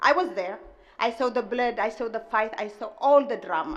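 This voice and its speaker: A woman speaks at a moderate pace in a high pitch with a strong Ethiopian accent, and audible room echo surrounds her voice. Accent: heavy Ethiopian. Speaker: restaurant owner. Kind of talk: commencement speech. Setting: stage with audience.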